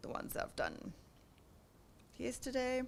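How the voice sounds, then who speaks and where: A woman is speaking. Her pace is moderate. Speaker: workshop presenter. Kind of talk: tutorial.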